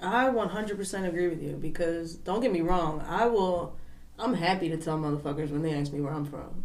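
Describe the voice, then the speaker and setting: With a Philadelphia accent and a fairly low pitch, a woman speaks amid noticeable background noise and audible room echo. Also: ordinary pitch variation, fairly quick pace. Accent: Philly. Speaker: podcast guest. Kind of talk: casual chat. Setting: basement studio.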